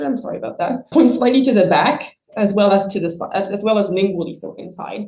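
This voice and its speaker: Speaking at a very fast pace, a woman uses a medium-pitched, somewhat breathy voice with a dark, mellow tone and ordinary pitch variation. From France. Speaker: palaeontologist. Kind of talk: scientific talk.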